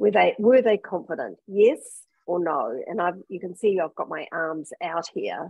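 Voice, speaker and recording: A woman with a plain, everyday voice at medium pitch. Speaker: leadership consultant and author. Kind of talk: interview.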